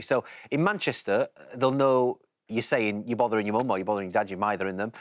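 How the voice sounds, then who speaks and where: With a Yorkshire accent, a man talks at a very fast pace on a very clean recording with a silent background, the sound dry and close with no echo. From Yorkshire, England. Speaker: English teacher. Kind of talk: educational explanation.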